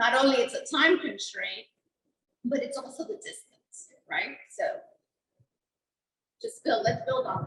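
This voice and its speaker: A woman's high voice at a fairly slow pace, with very wide pitch swings and big jumps in loudness. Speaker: venue owner, chamber member. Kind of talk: roundtable discussion.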